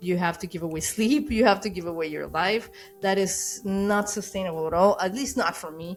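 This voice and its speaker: A woman with a Spanish accent, medium-pitched, fairly quick, with ordinary pitch variation and music playing in the background. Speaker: animator and YouTuber. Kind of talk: casual vlog talk to camera. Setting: recording to camera. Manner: hesitant, many fillers and repetitions.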